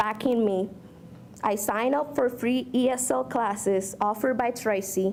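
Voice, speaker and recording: Moderate pace and ordinary pitch variation from a woman with a fairly high pitch. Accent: Spanish. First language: Spanish. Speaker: community college student speaker. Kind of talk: speech. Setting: podium at a luncheon with audience. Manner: slightly halting, self-correcting.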